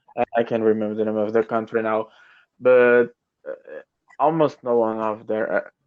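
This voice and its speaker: With a Brazilian Portuguese accent, a man speaks at medium pitch and a moderate pace, his intonation monotone and flat, broken by long, frequent pauses. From Brazil, São Paulo. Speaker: English learner. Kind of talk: casual conversation lesson. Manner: halting.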